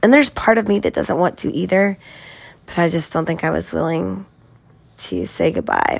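A woman talks at a moderate pace with long, frequent pauses. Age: 40s. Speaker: podcaster. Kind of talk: personal monologue.

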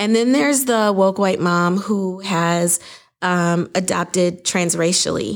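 A plain, everyday voice with an American accent speaks at a fairly slow pace with ordinary pitch variation and very even loudness. The recording is very clean, with a silent background. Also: woman, medium pitch for a woman. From Minnesota, US (Saint Paul). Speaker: entrepreneur, business founder. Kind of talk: interview.

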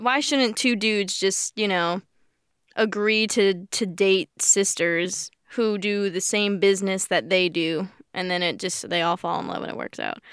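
Fairly slow and with ordinary pitch variation, a woman speaks on a very clean recording with a silent background. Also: medium pitch for a woman. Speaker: podcast host. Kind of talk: casual chat. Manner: animated.

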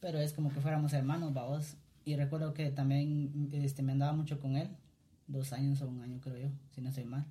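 Somewhat breathy and dark, mellow in tone, a man's fairly high voice moves at a fairly quick pace in a monotone, flat intonation. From Guatemala (Cuilapa, Santa Rosa). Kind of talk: casual chat.

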